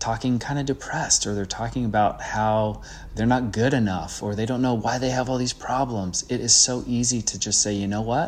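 A man speaks at a moderate pace in a normal speaking voice. His pitch is fairly low and his intonation fairly even. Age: 30s. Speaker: podcast co-host, church cohort graduate. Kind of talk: casual testimony chat.

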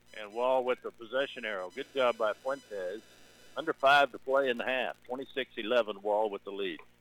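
Music plays in the background as a man with a medium pitch speaks at a moderate pace with ordinary pitch variation. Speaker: radio play-by-play announcer. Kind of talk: live sports commentary. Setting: gym, radio broadcast.

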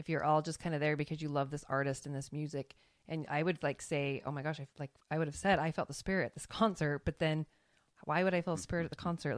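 A woman talks at a very fast pace with a very deep, low pitch and fairly even intonation. The recording is very clean with a silent background, its sound dry and close with no echo. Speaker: podcast host. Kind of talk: casual conversation.

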